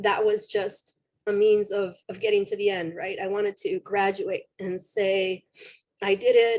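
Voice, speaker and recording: At a fairly slow pace, a woman talks in a flat monotone at a medium pitch. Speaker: alumna speaker. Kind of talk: personal testimony.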